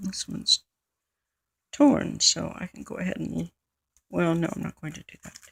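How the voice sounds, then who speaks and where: At a moderate pace, a woman with an American accent takes long, frequent pauses, her sound dry and close with no echo. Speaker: crafter, art journal maker. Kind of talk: craft tutorial narration. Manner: casual, chatty.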